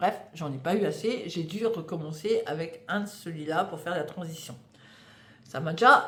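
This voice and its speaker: A woman speaks with lively intonation in a somewhat breathy voice. Audible room echo surrounds her. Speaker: knitting podcaster. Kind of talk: casual monologue. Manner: hesitant, many fillers.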